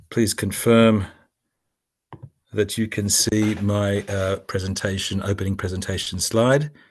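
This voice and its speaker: A man with an Australian accent speaks at a fairly low pitch in a monotone, flat intonation. Long, frequent pauses break up his speech against a quiet background. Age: 60s. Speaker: business educator for doctors. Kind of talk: webinar presentation. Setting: video webinar from home in Sydney.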